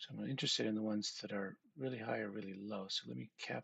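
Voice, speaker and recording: A man speaks with lively intonation at a moderate pace. Vocal fry runs through his voice. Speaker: programmer live-streaming a coding challenge. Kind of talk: live stream think-aloud coding. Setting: live stream. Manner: halting.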